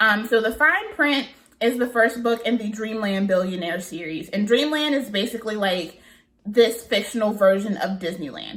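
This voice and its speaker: In a slight Southern US accent, a woman with a fairly high pitch sounds animated, using ordinary pitch variation. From US South. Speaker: book vlogger. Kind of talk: casual chat.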